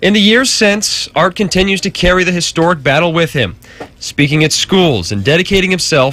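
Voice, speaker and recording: A man with a plain, everyday voice, a fairly high pitch and a fairly quick pace. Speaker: TV news reporter. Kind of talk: TV news report narration.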